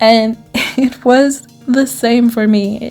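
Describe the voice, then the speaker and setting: With music in the background, a woman speaks with fairly even intonation. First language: German. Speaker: writer. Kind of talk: casual talk to camera.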